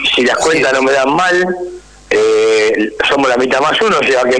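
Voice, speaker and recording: Audible room echo and noticeable background noise come through. A man with a fairly high pitch speaks with ordinary pitch variation. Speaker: football club human rights activist. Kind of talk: interview.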